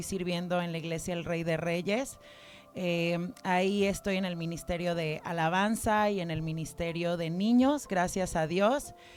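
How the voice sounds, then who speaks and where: Over music in the background, a woman speaks fairly slowly at a fairly low pitch. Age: 30s. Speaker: church member giving testimony. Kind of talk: testimony.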